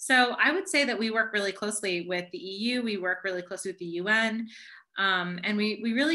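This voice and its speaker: A bright, sharp voice with an American accent races along at a very fast pace. Pitch variation is ordinary, and the background is quiet. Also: woman. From US, New York (Long Island). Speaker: human rights statistician. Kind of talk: Q&A after a presentation. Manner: fast when excited; animated.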